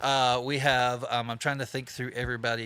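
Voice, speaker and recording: This man's voice has a bright, sharp tone, medium pitch and monotone, flat intonation. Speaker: live show host. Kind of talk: live-stream interview chat and show announcements. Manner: casual, conversational.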